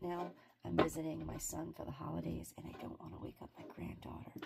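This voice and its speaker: A woman's raspy whisper in a put-on character voice, at a fairly quick pace, over light background noise. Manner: whispering.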